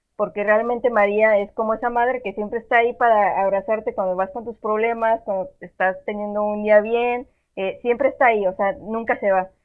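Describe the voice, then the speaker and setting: This woman has a plain, everyday voice, fairly high in pitch. She speaks at a moderate pace with fairly even intonation. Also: hardly any pauses. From Monterrey, northern Mexico. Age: 20s. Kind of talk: casual chat.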